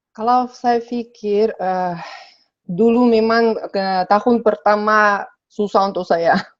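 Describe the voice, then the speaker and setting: Speaking very slowly with a Sabah accent, a woman uses a fairly high pitch and fairly even intonation. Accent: Sabah Malay. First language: Russian (speaking Indonesian). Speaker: interview guest. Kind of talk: casual interview. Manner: halting, many fillers.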